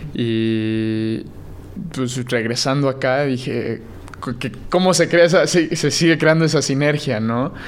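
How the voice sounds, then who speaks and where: A man with a medium pitch talks at a very slow pace. He leaves long, frequent pauses, and there is noticeable background noise. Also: ordinary pitch variation. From Mexico, Puebla. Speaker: blockchain startup founder. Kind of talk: interview.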